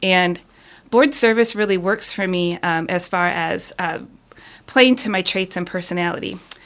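At a moderate pace and medium pitch, a woman with an Upper Midwest accent speaks with ordinary pitch variation. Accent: Upper Midwest American. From Michigan, Ann Arbor area. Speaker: city council candidate. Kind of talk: radio interview. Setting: studio.

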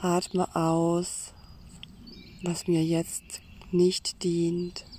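A woman talks in a gentle, soothing tone, fairly low in pitch, with flat, monotone intonation. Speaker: meditation guide. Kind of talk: guided meditation. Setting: outdoors in a forest with birdsong. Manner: slow, soothing, calm; gentle, pausing, inviting.

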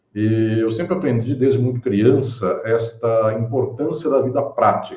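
A man speaks very slowly, somewhat breathy, at a medium pitch. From Brazil, interior of São Paulo state (Catanduva). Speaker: law professor and lawyer. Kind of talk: interview on a live-streamed podcast. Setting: live video stream.

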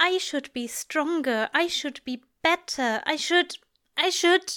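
A woman puts on a character voice, high-pitched with a bright, sharp tone, lively intonation and a slow pace, in a very clean recording with a silent background.

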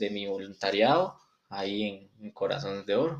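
Here a man speaks in a normal speaking voice. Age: 20s. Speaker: physiotherapy student. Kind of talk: interview.

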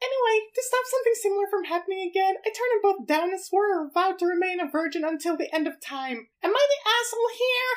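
A woman puts on a character voice with extremely high pitch. She talks at a very fast pace with hardly any pauses. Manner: comic, exaggerated.

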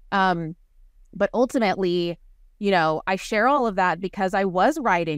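A woman with a plain, everyday voice speaks at a moderate pace in a medium pitch, with ordinary pitch variation. The recording is very clean, with a silent background. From Waco, Texas. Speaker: author and podcast host. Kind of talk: casual interview chat.

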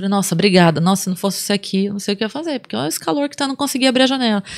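A woman's very fast, lively-intoned speech. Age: 40s. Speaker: comedian. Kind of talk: casual chat. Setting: studio.

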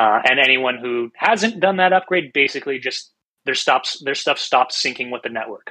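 Lively intonation marks this man's bright, sharp voice, pitched medium and delivered at a moderate pace. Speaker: community member. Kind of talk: casual chat.

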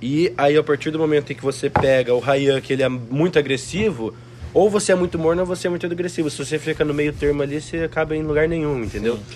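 A man's very fast speech at a fairly high pitch, with ordinary pitch variation over noticeable background noise. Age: 20s. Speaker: copywriter. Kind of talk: casual chat. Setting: mansion house.

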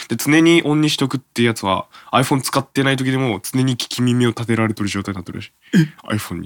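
Pitch varies in an ordinary way as a man races along at a very fast pace. The sound is dry and close, without any echo. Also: medium pitch for a man. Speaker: radio host. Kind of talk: casual chat.

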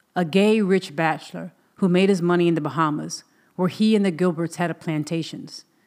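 In a very clean recording with a silent background, a woman speaks at a fairly quick pace in an ordinary speaking voice, fairly low in pitch with fairly even intonation. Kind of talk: audiobook reading of a memoir, scripted narration.

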